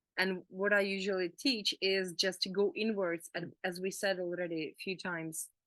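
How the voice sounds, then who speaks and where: At a fairly slow pace, a woman with a medium pitch and a bright, sharp tone keeps her intonation fairly even. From Czech Republic. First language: Czech. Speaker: emotional healing coach. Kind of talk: casual chat. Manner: halting.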